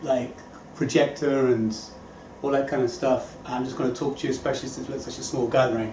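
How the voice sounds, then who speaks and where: A man's voice is heard with audible room echo. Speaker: motivational speaker. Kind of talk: inspirational talk. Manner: fast; animated.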